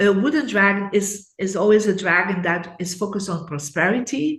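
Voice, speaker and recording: A woman at a moderate pace amid audible room echo. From Belgium. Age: 60s. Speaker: feng shui expert. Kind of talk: interview.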